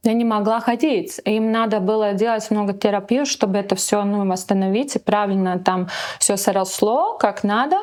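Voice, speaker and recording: Against noticeable background noise, a woman speaks at a moderate pace and fairly high pitch, with fairly even intonation and very even loudness. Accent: non-native. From Latvia, near Riga. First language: Latvian (speaking Russian). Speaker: model and businesswoman. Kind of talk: interview. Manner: halting, many fillers.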